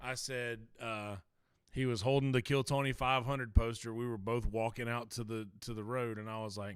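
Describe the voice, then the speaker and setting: A man speaks at a medium pitch with a Lowcountry accent and fairly even intonation. The recording is very clean, with a silent background. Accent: low country. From South Carolina, low country. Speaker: podcast co-host. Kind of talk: casual chat.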